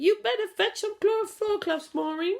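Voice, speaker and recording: Using a put-on character voice, a woman speaks at a moderate pace and an extremely high pitch with ordinary pitch variation. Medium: read story. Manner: fussing, exclamatory.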